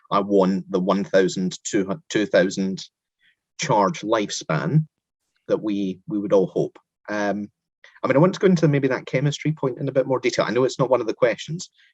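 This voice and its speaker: A man speaks at a moderate pace with a Scottish accent and very wide pitch swings, in a dry, close sound with no echo over a quiet background. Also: medium pitch for a man. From Scotland. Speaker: interviewer. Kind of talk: interview.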